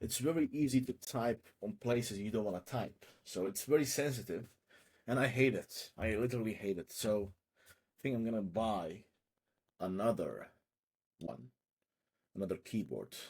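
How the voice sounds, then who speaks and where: A man with a non-native accent speaks with vocal fry, big swings in loudness, and long, frequent pauses. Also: medium pitch for a man, ordinary pitch variation, moderate pace. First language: not English. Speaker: online seller doing market research. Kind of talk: live screen-share research session. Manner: casual, thinking aloud with self-interruptions.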